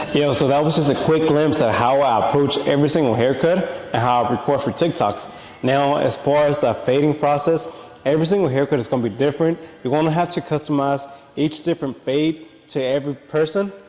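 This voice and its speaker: Against noticeable background noise, a man talks in a fairly high pitch, his intonation fairly even and his loudness very even. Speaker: barber. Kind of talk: casual vlog talk to camera. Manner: fast.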